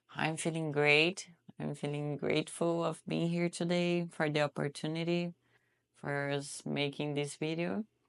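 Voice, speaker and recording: At a fairly slow pace, a woman speaks in a very deep, low pitch for a woman with a Brazilian accent and fairly even intonation. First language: Portuguese. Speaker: trafficking survivor. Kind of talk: interview testimony.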